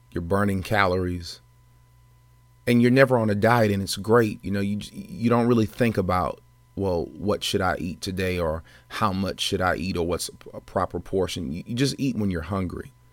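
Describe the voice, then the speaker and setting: Using an ordinary speaking voice, a man talks at a moderate pace with fairly low pitch and ordinary pitch variation, in a very clean recording with a silent background. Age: 30s. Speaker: podcast host, wellness doctor. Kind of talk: solo podcast monologue. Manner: casual, with fillers.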